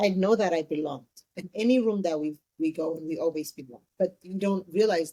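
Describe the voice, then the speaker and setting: Her voice is fairly low for a woman, with a dark, mellow tone, ordinary pitch variation, a fairly quick pace and big swings in loudness. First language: Amharic. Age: 30s. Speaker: entrepreneur. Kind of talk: interview.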